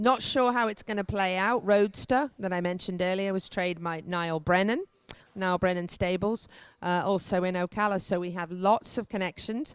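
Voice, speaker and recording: In a very clean recording with a silent background, a woman speaks with an English accent at a medium pitch. Her pace is moderate and her pitch variation ordinary. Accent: non-rhotic English, doesn't roll R's. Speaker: equestrian show host. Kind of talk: on-location news report. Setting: hotel, on location.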